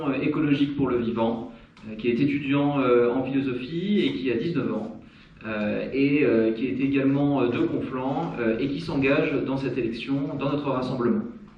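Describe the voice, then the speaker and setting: Speaking at a fairly slow pace, a man uses a medium pitch with ordinary pitch variation. The recording has audible room echo and noticeable background noise. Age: 30s. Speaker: local election candidate. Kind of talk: campaign speech at public meeting. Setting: public meeting hall. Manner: hesitant, many filler sounds.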